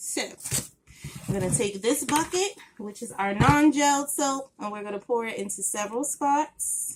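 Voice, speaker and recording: A woman speaks at a moderate pace in a high voice, her loudness swinging widely and her pitch rising and falling over a very wide range. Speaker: soap maker. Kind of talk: tutorial. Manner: casual.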